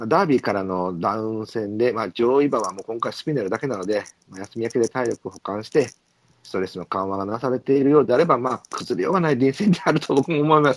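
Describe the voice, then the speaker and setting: A man at medium pitch with lively intonation, a very fast pace, and a dry, close sound with no echo. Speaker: horse racing podcast host. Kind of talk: casual chat. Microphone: poor audio quality.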